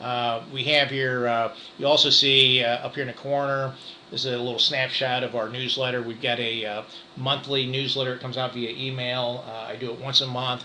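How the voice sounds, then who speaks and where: A man with a Midwestern American accent speaks at a fairly quick pace and medium pitch. His intonation is flat and monotone, with noticeable background noise behind him. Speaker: real estate broker. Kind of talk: market update presentation. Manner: fast; halting, many fillers.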